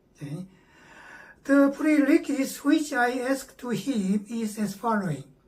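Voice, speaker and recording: Against noticeable background noise, a woman speaks at a fairly slow pace in a high pitch with very wide pitch swings. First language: Korean. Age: 70s. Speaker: meditation teacher. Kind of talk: lecture. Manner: halting, frequent fillers.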